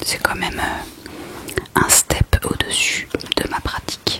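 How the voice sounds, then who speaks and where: Whispering, a woman speaks in a relaxed tone. Noticeable background noise is present. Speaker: ASMR creator. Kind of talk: whispered reading of a book, ASMR. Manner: whispered, soft, relaxed, casual.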